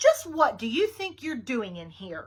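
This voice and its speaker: A woman puts on a high-pitched, growling character voice with very wide pitch swings. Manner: angry, scolding.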